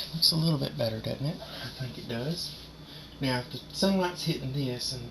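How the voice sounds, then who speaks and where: Amid noticeable background noise and audible room echo, a man speaks at a medium pitch and a moderate pace. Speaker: painter. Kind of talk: painting tutorial. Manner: casual.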